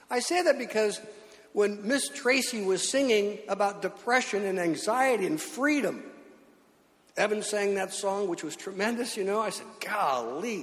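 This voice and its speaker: Over noticeable background noise, a man speaks at a moderate pace in a high pitch with lively intonation. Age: 70s. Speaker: pastor. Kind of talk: sermon. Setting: church.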